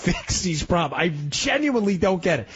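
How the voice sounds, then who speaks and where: Noticeable background noise sits behind a man speaking at a fairly quick pace. His pitch is high and swings very widely. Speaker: radio talk show fill-in host. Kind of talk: call-in talk radio. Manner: animated.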